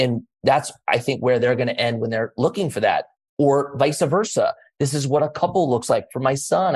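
Somewhat breathy and fairly high in pitch, a man speaks at a moderate pace. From US, raised in same area he lives. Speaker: former pro skater, entrepreneur and city council member. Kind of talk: interview.

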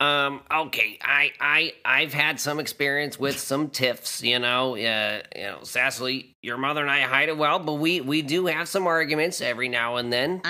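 A man's put-on character voice, fairly high in pitch, with hardly any pauses. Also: moderate pace. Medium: actual play. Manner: hesitant, stammering.

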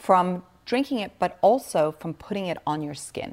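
A woman talks fairly slowly in a very clean recording against a silent background. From Switzerland. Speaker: wellness entrepreneur and author. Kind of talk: interview.

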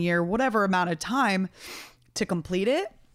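A woman speaks at a medium pitch with an animated tone. Her pace is moderate, and her pitch varies in an ordinary way. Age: 20s. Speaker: podcast host. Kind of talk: casual solo monologue. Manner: animated, laughing often.

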